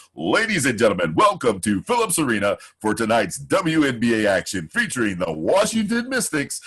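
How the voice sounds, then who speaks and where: A man puts on a booming character voice at medium pitch. He speaks at a fairly quick pace. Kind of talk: loud announcer delivery.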